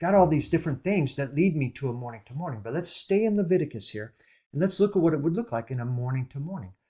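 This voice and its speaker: A man talks at a very fast pace in a fairly high, somewhat breathy voice with a dark, mellow tone. The recording is very clean, its background silent. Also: lively intonation, big swings in loudness. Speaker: bible teacher. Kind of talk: bible study talk.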